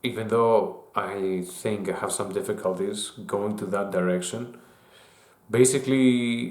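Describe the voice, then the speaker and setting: Through audible room echo, a man with a non-native accent speaks at a fairly slow pace in a medium pitch with fairly even intonation. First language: not English. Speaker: YouTuber. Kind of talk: casual monologue. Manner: halting, with fillers and restarts.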